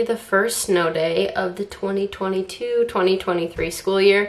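A woman talks very slowly, her pitch varying an ordinary amount. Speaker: substitute teacher vlogger. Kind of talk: casual vlog chat. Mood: excited, relaxed. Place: kitchen.

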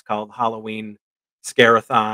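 Against a quiet background, a man speaks at a moderate pace in a bright, sharp tone. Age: 40s. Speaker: indie film writer and director; guest. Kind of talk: casual chat. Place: home room.

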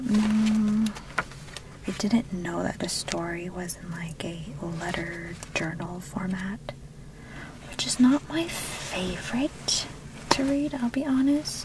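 Soft-spoken whispering at a very slow pace, long, frequent pauses, and noticeable background noise. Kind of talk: ASMR roleplay, friendly chat. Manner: soft-spoken, whispered.

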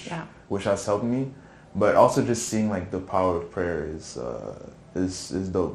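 A man with a very deep, low pitch and vocal fry talks at a moderate pace with lively intonation. Audible room echo and light background noise surround him. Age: 20s. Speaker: church youth praise team drummer. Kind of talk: testimony; casual interview. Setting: studio. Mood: relaxed, reflective. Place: studio.

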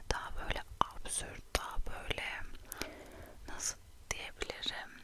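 Whispering at a very slow pace over noticeable background noise. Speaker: ASMR creator. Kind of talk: whispered chat to camera. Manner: whispered, soft-spoken.

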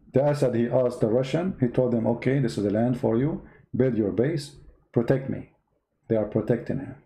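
A man's somewhat breathy, dark and mellow voice, medium in pitch, with an Arabic accent, ordinary pitch variation and a fairly quick pace. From Middle East. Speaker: online political and religious commentator. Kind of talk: live-stream commentary. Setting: live stream. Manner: sarcastic.

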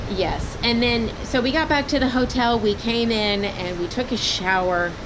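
Over noticeable background noise, a woman with an American accent speaks at a fairly slow pace in a fairly high pitch with ordinary pitch variation. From Texas. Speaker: travel vlogger. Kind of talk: casual vlog chat. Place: home room. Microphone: phone near.

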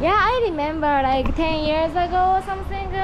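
A woman with a Japanese accent over noticeable background noise. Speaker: travel vlogger. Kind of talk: casual travel vlog. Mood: cheerful, curious. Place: cafe. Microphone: phone near.

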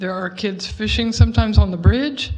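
A woman talks at a middle pitch. There is a slight breathiness to her voice. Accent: American. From Pearland, Texas. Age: 60s. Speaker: resident speaking at public hearing. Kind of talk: public comment at city board hearing. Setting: city board meeting.

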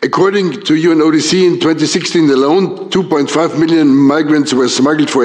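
A man at a fairly quick pace with ordinary pitch variation, plus audible room echo. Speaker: EU agency official. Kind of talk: conference speech. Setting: conference panel. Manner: formal.

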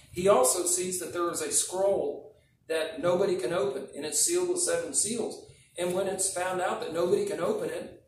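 Speaking at a moderate pace, a man is heard over light background noise with audible room echo. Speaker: preacher. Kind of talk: sermon. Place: church. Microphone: podium.

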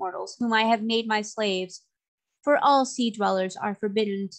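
A quiet background behind natural-voiced reading aloud, the intonation fairly even.

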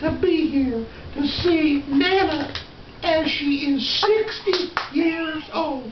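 In a cartoonish character voice, a man speaks at an extremely high pitch. There is a slight echo and clear background noise. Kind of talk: children's puppet show, sweet. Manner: cheerful, then worried.

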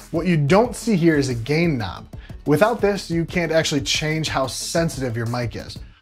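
There is faint music in the background. A man talks at a fairly quick pace. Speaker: tech reviewer. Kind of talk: product review talk to camera. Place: studio. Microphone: lapel.

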